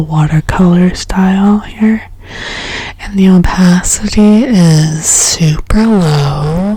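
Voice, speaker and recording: Calm and soft-spoken, a woman talks at a very slow pace with very even loudness over noticeable background noise. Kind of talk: ASMR soft-spoken ramble while coloring. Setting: close-mic studio recording with binaural microphone. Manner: soft-spoken, calm, rambling.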